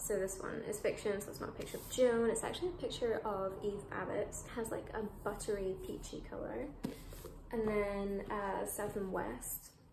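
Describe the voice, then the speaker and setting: Her delivery keeps a moderate pace. Background noise is noticeable throughout. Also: ordinary pitch variation. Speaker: book vlogger. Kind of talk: casual vlog chat. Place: home room. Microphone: phone near.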